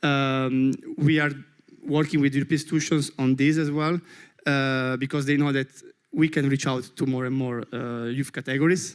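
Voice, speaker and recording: The man's pitch is fairly high. His intonation is flat and monotone. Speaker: youth organization project officer. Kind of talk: panel discussion. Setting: conference panel with interpreters. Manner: fast; halting.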